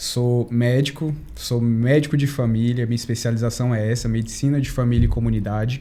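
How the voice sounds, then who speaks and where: With a dark, mellow tone, the speech runs at a fairly quick pace in monotone, flat intonation, at very even loudness with hardly any pauses, and room echo is audible. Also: man, medium pitch for a man. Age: 30s. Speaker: family doctor. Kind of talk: podcast interview.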